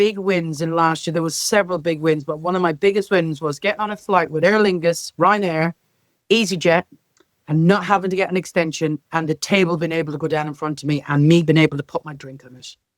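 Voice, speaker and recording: A woman with a Northern Irish accent speaks fairly quickly in a fairly low pitch, with big swings in loudness. The sound is dry and close, with no echo. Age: 50s. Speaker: care sector leader. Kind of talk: interview. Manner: animated.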